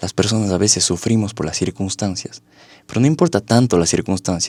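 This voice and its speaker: Fairly low-pitched and set at a fairly quick pace, this man's voice is a plain, everyday voice with ordinary pitch variation. The sound is dry and close with no echo, on a very clean recording with a silent background. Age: 20s. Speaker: psychologist and life coach. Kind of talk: interview.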